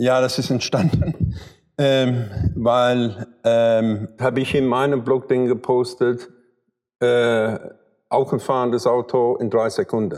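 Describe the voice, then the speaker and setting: A man speaks very slowly at a medium pitch. His loudness stays very even. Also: fairly even intonation. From London, England. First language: English (speaking German). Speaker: car photographer and retoucher. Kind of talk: interview. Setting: photo studio. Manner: halting.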